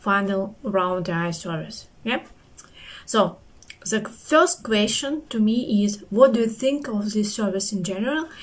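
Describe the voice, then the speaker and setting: The voice is somewhat breathy, with a non-native accent. It moves at a fairly slow pace with ordinary pitch variation. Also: woman. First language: not English. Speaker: QA engineer, interview candidate. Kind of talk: spoken review of a service.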